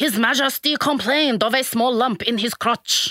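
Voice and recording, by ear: Doing a put-on character voice in a French accent, a woman speaks at a high pitch and moderate pace.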